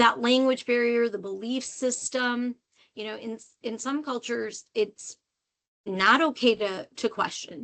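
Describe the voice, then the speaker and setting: At a fairly slow pace, a woman speaks with a fairly high pitch and big swings in loudness. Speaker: literacy program director. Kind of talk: webinar presentation. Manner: animated.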